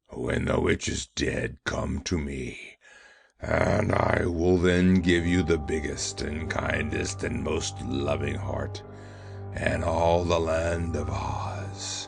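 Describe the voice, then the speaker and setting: A man's put-on character voice, gruff, raspy and bellowing, very deep and low, at a very slow pace over faint music in the background. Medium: read story.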